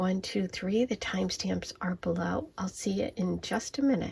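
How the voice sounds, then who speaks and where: A quiet woman's voice at medium pitch, with noticeable background noise. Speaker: tarot reader. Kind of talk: tarot card reading. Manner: quiet, hushed.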